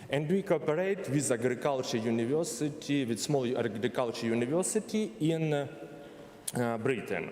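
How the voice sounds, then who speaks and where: A man with a Ukrainian accent and a fairly high pitch speaks at a moderate pace with lively intonation, amid noticeable background noise and audible room echo. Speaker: university representative. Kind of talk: conference presentation. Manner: halting.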